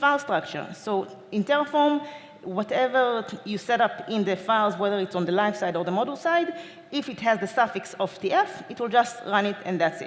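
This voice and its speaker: Over noticeable background noise, a woman talks at a fairly quick pace in a fairly high pitch with lively intonation. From Israel. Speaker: DevOps engineer, conference speaker. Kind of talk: conference talk. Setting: stage with audience. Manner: fast.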